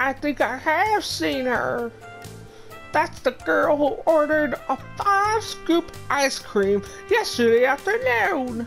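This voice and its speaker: A put-on character voice, high in pitch and at a very slow pace, with clear music in the background. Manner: weird, put-on.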